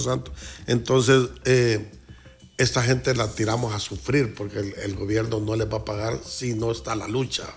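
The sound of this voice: There's vocal fry as a man talks at a moderate pace.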